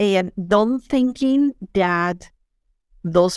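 A woman of medium pitch speaks with a strong Colombian accent on a very clean recording with a silent background. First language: Spanish. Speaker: project manager, former refugee. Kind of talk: interview testimony.

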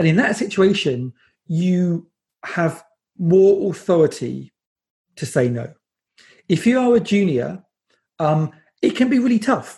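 A man with a British accent speaks at a high pitch in a dark, mellow tone with very wide pitch swings. His pace is fairly slow, with long, frequent pauses. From England. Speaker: design agency CEO and conference organiser. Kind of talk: interview.

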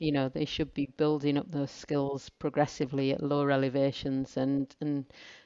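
Dark and mellow in tone, the voice speaks with a northern English accent at a moderate pace in a monotone, flat intonation, with a dry, close sound with no echo and a quiet background. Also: woman. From northern England. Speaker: mountain instructor. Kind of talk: casual interview chat.

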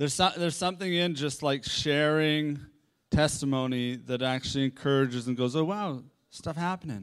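A man's normal speaking voice with a Canadian accent, fairly high pitch, ordinary pitch variation and moderate pace, on a very clean recording with a silent background. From Victoria, British Columbia, Canada. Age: 40s. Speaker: pastor. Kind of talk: sermon.

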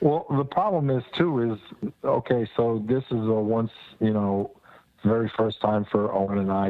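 This speaker talks at a fairly slow pace with an American accent in an ordinary speaking voice. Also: man. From New Jersey. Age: 60s. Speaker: reptile keeper on a field trip. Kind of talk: casual chat.

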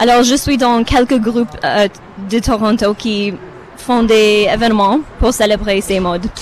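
A woman talks at a fairly slow pace in a fairly high voice. Noticeable background noise runs under her speech. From Romania. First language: not French (speaking French). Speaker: festival visitor, teacher. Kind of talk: live radio interview.

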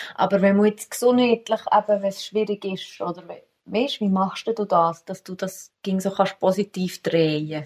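A woman's somewhat breathy voice keeps fairly even intonation but shows big swings in loudness. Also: medium pitch for a woman, moderate pace. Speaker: podcast host. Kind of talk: casual interview. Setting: at the guest's home.

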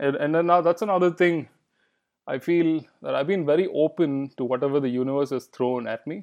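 At a moderate pace, a man with a Kannada accent speaks at a fairly high pitch with ordinary pitch variation. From India, Bangalore. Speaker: filmmaker. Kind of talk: interview.

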